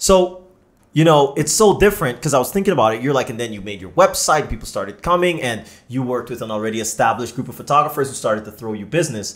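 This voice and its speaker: Speaking very fast at a medium pitch, a man with a Canadian accent sounds animated, with lively intonation and big swings in loudness, over a quiet background. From Canada. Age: 30s. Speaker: podcast host. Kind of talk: casual chat. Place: studio. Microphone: studio mic.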